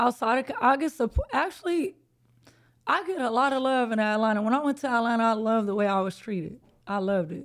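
Speech comes at a very fast pace in an American accent, with lively intonation. The recording is very clean and the background silent. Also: woman, fairly high pitch for a woman. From South Central Los Angeles. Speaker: rapper. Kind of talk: casual chat.

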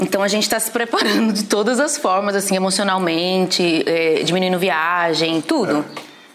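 The speech runs at a moderate pace with hardly any pauses and very even loudness. Noticeable background noise is present. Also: woman, medium pitch for a woman, ordinary pitch variation. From Recife, Brazil. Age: 30s. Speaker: church history teacher. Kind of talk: casual chat. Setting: at her home.

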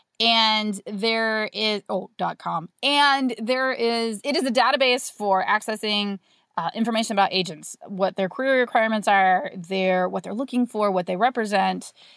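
In a plain, everyday voice, a woman of medium pitch speaks at a moderate pace with an American accent, the sound dry and close with no echo on a very clean recording with a silent background. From rural US. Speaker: novelist. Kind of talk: interview.

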